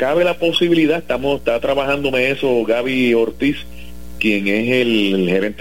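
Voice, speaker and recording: Noticeable background noise sits behind a man at a medium pitch. He speaks at a moderate pace with ordinary pitch variation. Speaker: sports radio host. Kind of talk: casual chat.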